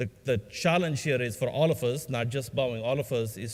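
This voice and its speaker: A man of medium pitch speaks with ordinary pitch variation. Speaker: aerospace industry executive. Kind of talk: conference panel talk. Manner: fast; halting.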